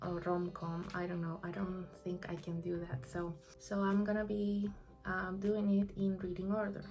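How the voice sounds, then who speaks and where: Over music in the background and with audible room echo, a woman speaks at a moderate pace in a medium pitch with monotone, flat intonation. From Peru. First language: Spanish. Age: 20s. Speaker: book vlogger. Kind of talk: casual monologue. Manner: halting.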